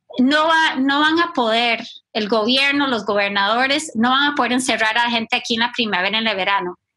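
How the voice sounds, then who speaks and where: Her raised, projected voice is high-pitched for a woman, and she speaks at a fairly quick pace. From Costa Rica and US. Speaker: ministry team director. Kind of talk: casual discussion.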